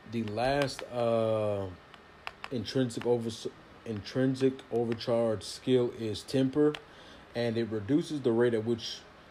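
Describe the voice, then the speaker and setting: A man speaks at a fairly slow pace with fairly even intonation. Noticeable background noise runs underneath. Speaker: gaming youtuber. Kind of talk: gameplay tutorial. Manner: stumbling over words.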